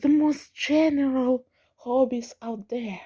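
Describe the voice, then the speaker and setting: A woman speaks quietly at a high pitch and a very slow pace, with fairly even intonation. Her tone is dark and mellow, and the sound is dry and close with no echo. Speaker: vlogger. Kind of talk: casual vlog monologue. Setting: at home at night, family nearby. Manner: trying to keep quiet; halting, repeats words.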